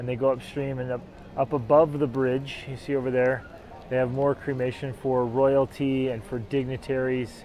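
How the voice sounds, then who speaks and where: A man speaks at a moderate pace in a monotone, flat intonation, the sound dry with no echo and light background noise. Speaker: travel vlogger. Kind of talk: casual vlog chat. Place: waterside. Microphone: lapel.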